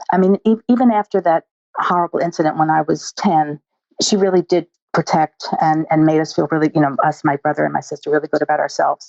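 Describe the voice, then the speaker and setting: Talking at a very fast pace, a woman uses a very deep, low pitch with ordinary pitch variation. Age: 60s. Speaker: eating disorder dietitian. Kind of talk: interview.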